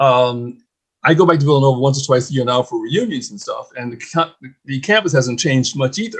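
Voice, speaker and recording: Somewhat breathy delivery at a fairly quick pace, with ordinary pitch variation. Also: man. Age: 70s. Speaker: former seminarian. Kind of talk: testimony.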